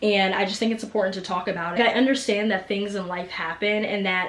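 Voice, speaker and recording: A woman's medium-pitched voice at a very fast pace over noticeable background noise. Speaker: book vlogger. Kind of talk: casual vlog review. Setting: home, seated under a blanket. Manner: animated.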